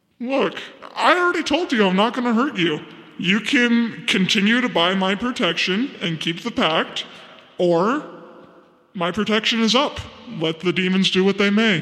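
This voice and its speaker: A man puts on a character voice at a high pitch. He keeps a moderate pace, and a clear echo surrounds the speech. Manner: casual, slangy, exasperated; persuasive, self-assured.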